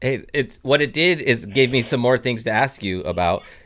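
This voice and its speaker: A man with a normal speaking voice talks at a moderate pace and medium pitch, his intonation lively. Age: 40s. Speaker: podcast host. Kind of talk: casual chat. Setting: video call.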